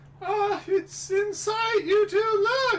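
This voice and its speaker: In a put-on character voice, a man squeaks at an extremely high pitch, with clear background noise behind him. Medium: game stream. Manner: earnest, informative.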